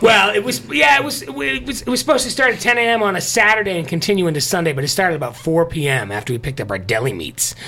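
A man with a high voice talks very fast, with hardly any pauses and very wide pitch swings. Noticeable background noise is present. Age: 40s. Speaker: morning radio show host. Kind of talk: casual chat.

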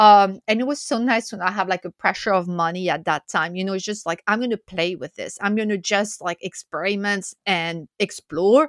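A woman with a French accent speaks with hardly any pauses and ordinary pitch variation, in a dry, close sound with no echo on a very clean recording with a silent background. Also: medium pitch for a woman, moderate pace. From France. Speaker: food writer and chocolate educator. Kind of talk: interview. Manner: animated.

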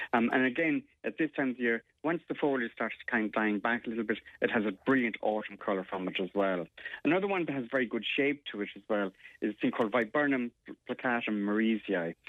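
A man with an Irish accent, medium pitch, ordinary pitch variation and a fairly quick pace. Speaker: gardening expert. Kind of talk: casual chat.

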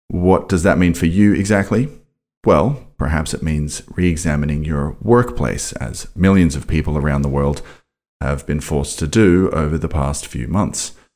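Vocal fry runs through a man's very deep, low pitch. He speaks at a moderate pace with ordinary pitch variation. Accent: Australian. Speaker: podcast host. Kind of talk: scripted intro narration and interview; casual interview conversation. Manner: halting with fillers in conversation.

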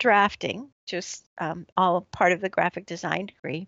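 Talking at a fairly slow pace, a woman speaks with an American accent. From US West Coast, San Francisco Bay Area. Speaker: artist and art teacher. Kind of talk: casual interview.

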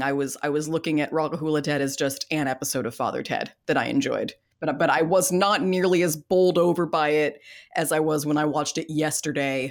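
In a very clean recording with a silent background, a woman with a Californian accent speaks in an animated tone at a very deep, low pitch. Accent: Californian American. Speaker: podcast host. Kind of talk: casual chat. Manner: animated, jokey.

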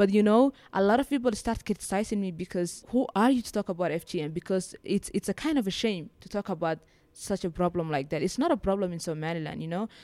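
A woman with a Somali accent and a dark, mellow tone, at a very fast pace with hardly any pauses, lively intonation and big swings in loudness, on a very clean recording with a silent background. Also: medium pitch for a woman, dry, close sound with no echo. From Somaliland. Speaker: social activist. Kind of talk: interview. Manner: halting.

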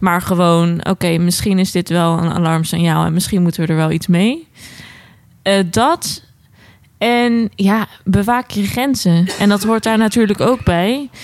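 In a plain, everyday voice, a woman speaks at a medium pitch and fairly slow pace, with ordinary pitch variation and very even loudness. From Netherlands, Alphen aan den Rijn (South Holland). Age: 20s. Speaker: psychiatric nurse. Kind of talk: casual chat.

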